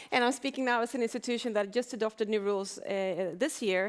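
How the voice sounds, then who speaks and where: The speaker has a Swedish accent and ordinary pitch variation. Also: woman. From Sweden. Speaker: arbitration institution head. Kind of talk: panel discussion. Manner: hesitant, with repetitions.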